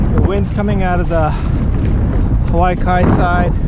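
A man at a fairly slow pace, a dry sound with no echo, and loud background noise. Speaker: kayak fisherman vlogger. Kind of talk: casual vlog chat. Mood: cheerful, relaxed. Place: waterside. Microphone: phone near.

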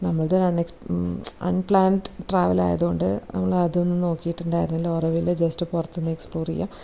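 A woman's fairly low, dark, mellow voice with vocal fry, monotone, flat intonation and a fairly quick pace.

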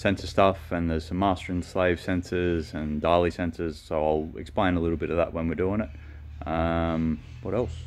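A man talks at a moderate pace with hardly any pauses. His pitch is very deep and low, and his intonation stays fairly even. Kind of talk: casual vlog chat. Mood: relaxed, joking. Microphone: phone near.

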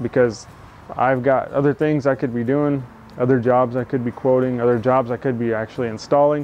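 Music plays in the background while a man talks at a fairly quick pace. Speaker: carpentry contractor. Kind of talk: casual vlog chat. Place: street. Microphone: lapel.

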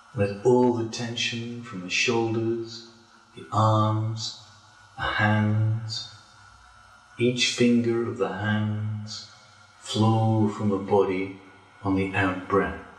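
A man with a fairly low voice speaks very slowly and calmly in a flat monotone, his loudness swinging widely between long, frequent pauses, with audible echo in the room. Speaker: yoga teacher. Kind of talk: guided relaxation. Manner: slow, calm. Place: home room.

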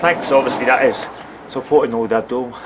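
A man's voice with ordinary pitch variation, over noticeable background noise. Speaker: football fitness coach. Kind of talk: tutorial. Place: street. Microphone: phone near.

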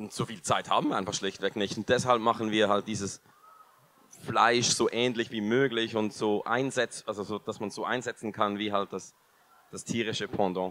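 Speaking at a moderate pace, a man with fairly low pitch delivers his words in a monotone, flat intonation, and the sound is dry with no echo. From Switzerland. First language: Swiss German (speaking German). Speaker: food company co-founder; company founder on panel. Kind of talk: panel discussion. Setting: stage with audience. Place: hall. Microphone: handheld.

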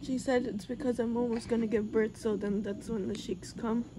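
A weary, strained woman's voice at a moderate pace, with fairly even intonation and noticeable background noise. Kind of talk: casual chat. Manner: weary, strained voice during labor. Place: home room.

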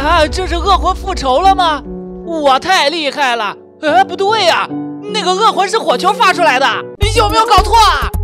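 A raised, projected voice at a moderate pace, lively in intonation, with music in the background. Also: man, extremely high pitch for a man. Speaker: voice-over narrator and dub artist. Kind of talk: game video commentary. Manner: lively, playful.

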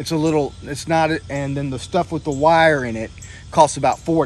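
A man in a dry sound with no echo, music in the background. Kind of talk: casual vlog chat. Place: open country. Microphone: phone near.

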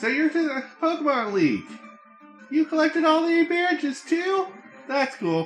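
Over clear background music, someone does a put-on character voice at a moderate pace.

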